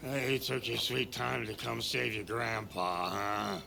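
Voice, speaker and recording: In a put-on character voice, a man sounds gruff at fairly low pitch and a fairly slow pace, with clear background noise behind him. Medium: video game. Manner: gruff, crude, chuckling.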